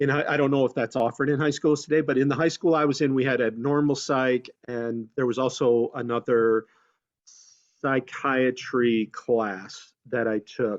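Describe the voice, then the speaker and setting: In an ordinary speaking voice, a man talks at a moderate pace and medium pitch with fairly even intonation, the sound dry and close with no echo against a quiet background. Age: 60s. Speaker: community outreach worker, former broadcaster. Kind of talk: career talk on webinar panel. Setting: video call.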